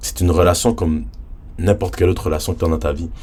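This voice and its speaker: Against noticeable background noise, a man with a very deep, low pitch speaks in an animated tone. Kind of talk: casual religious vlog talk.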